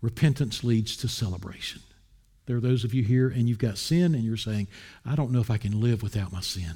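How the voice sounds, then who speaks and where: Medium in pitch, this man has a dark, mellow tone, a somewhat breathy quality and an American accent. He talks at a fairly quick pace with ordinary pitch variation on a very clean recording with a silent background. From US South, Wilmington, North Carolina. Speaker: pastor. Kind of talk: sermon.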